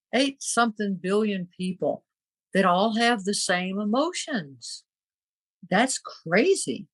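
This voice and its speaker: A somewhat breathy woman speaks at a very slow pace and medium pitch, with lively intonation and very even loudness. The sound is dry and close with no echo. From Scotland. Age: 70s. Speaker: podcast host, spiritual artist. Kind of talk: casual chat. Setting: podcast recording.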